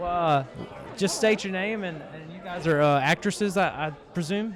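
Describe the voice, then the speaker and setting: A man with a Mississippi accent speaks at a moderate pace and a high pitch, with ordinary pitch variation. His loudness swings widely, and the room echo is audible. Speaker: horror media interviewer. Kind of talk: red carpet interview. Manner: animated.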